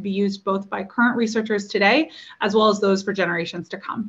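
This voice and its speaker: A woman speaks with an American accent at medium pitch. Her pace is fairly quick. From United States. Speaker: ocean exploration operations manager; presenter. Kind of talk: conference presentation. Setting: video call. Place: home room. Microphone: webcam.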